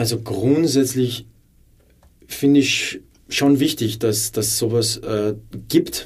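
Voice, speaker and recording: A somewhat breathy man with a medium pitch speaks at a very slow pace with ordinary pitch variation and long, frequent pauses. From Upper Austria. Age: 20s. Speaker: former footballer and teacher. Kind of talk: interview.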